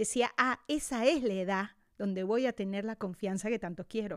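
An unremarkable speaking voice from a woman, ordinary pitch variation, very clean recording with a silent background. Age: 50s. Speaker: podcast host and wellness teacher. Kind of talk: casual chat.

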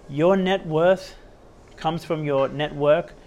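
A man speaks at a fairly slow pace with an Australian accent. His pitch sits fairly high. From western suburbs of Sydney, Australia. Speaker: podcast host. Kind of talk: solo motivational monologue. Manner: animated, repetitive emphasis; gets louder when talking about personal development.

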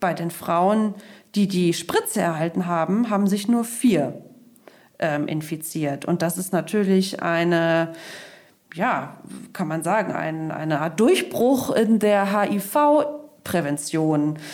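Pausing long and often, a woman speaks at a very slow pace, her fairly low pitch rising and falling with lively intonation. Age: 30s. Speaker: podcast host. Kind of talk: news podcast chat. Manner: slow, simple explanations.

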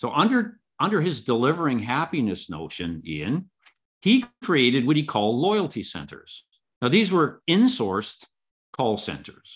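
A man with a fairly high pitch uses very wide pitch swings and vocal fry. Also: moderate pace. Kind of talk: casual interview. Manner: measured, filler words.

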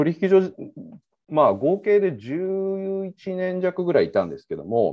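This man speaks at a fairly slow pace. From Osaka, Japan. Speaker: crypto exchange executive. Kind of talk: casual interview.

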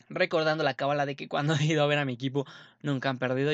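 A man talks at a very fast pace in a fairly high pitch, recorded dry and close with no echo against a quiet background. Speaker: sports podcast host. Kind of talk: casual monologue. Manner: animated.

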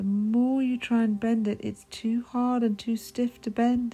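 A woman speaks at a fairly slow pace in a gentle, soothing tone. Her voice is dark, mellow and somewhat breathy. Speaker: hypnotherapist guiding meditation. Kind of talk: hypnosis induction, guided meditation script. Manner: slow, soft, gentle, soothing, repetitive hypnotic cadence.

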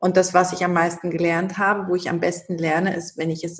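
A woman is speaking. Her pitch is fairly low. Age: 30s. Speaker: shaman and spiritual coach. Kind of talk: interview.

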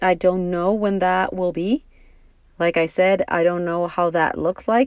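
A woman with a Spanish accent speaks in a fairly low pitch with ordinary pitch variation, on a very clean recording with a silent background. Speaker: podcast host. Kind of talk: solo monologue. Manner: slow, halting.

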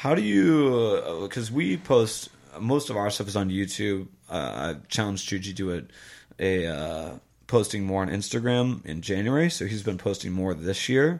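A normal speaking voice with an American accent and lively intonation moves at a moderate pace on a very clean recording with a silent background. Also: man, fairly low pitch for a man. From US Midwest. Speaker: podcast host. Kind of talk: casual chat.

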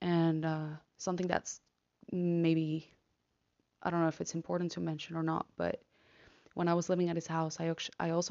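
A woman with a Spanish accent and a fairly low pitch speaks at a moderate pace. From Argentina. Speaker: podcaster, law student. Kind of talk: personal monologue. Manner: halting, hesitant.

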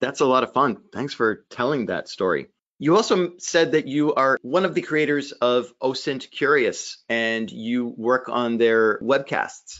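Using an ordinary speaking voice, a man talks at a fairly slow pace with hardly any pauses and ordinary pitch variation. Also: medium pitch for a man. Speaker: podcast host. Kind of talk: interview.

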